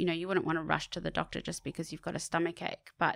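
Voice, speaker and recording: A woman at a very fast pace, fairly low in pitch, with vocal fry and monotone, flat intonation, in a dry, close sound with no echo on a very clean recording with a silent background. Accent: Australian. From Sydney, Australia (eastern suburbs). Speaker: charity advocate. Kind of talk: interview.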